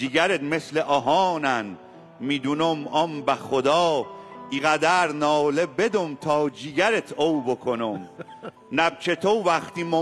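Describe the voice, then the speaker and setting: A man speaks at a very slow pace with a Fars accent, with music playing in the background. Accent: local Kazeruni dialect. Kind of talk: poetry reading.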